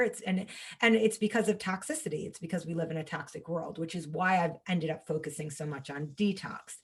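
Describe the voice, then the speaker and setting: A woman with an American accent speaks at a fairly low pitch. Her voice is somewhat breathy, with ordinary pitch variation. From New York. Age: 30s. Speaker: holistic health coach and cancer survivor. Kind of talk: podcast interview, personal story. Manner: animated.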